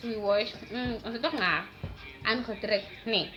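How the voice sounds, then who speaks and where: A woman speaks in an animated tone at a fairly high pitch and moderate pace. There is noticeable background noise. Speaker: YouTuber. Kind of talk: story time.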